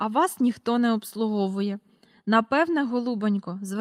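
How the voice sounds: In a natural reading voice, the pitch moves with ordinary variation.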